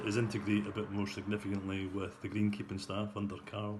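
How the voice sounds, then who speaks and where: With a Scottish accent, a man speaks at a fairly low pitch and a moderate pace amid audible room echo. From Scotland. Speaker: golf club captain. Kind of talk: club news update. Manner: hesitant, many fillers.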